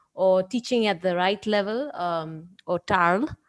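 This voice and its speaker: On a very clean recording with a silent background, a woman's medium-pitched voice varies in pitch in an ordinary way. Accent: non-native. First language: not Spanish (speaking Spanish). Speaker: NGO program director. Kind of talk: presentation. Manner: halting.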